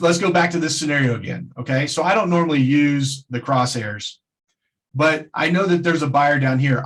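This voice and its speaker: At a moderate pace, a man talks in a plain, everyday voice with a fairly high pitch and ordinary pitch variation. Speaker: trading webinar presenter. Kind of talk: webinar tutorial.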